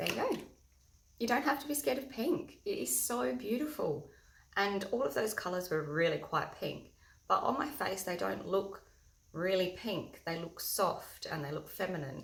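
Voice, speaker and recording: Loud and showing vocal fry, a woman talks at a moderate pace and medium pitch, with audible room echo. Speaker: makeup tutorial host. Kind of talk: tutorial.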